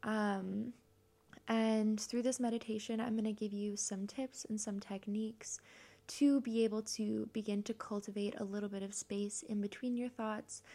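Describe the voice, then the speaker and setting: A woman speaks in a dark, mellow, soothing tone, somewhat breathy, with flat, monotone intonation. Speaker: podcast host and meditation guide. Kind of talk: guided meditation. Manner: soft, slow, soothing; warm, gentle, encouraging.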